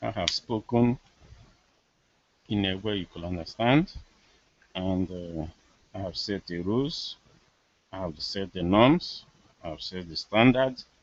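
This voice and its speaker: In a Nigerian accent, a man speaks at a fairly slow pace. His intonation is lively. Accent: Nigerian Igbo English. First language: Igbo. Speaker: political commentator. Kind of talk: live monologue. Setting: live video hangout.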